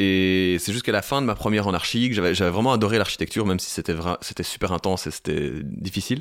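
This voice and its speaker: On a very clean recording with a silent background, a man speaks with a very deep, low pitch. His pace is fairly quick with hardly any pauses, and his pitch variation is ordinary. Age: 30s. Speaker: singer-songwriter and music producer. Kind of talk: interview conversation. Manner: hesitant, many fillers.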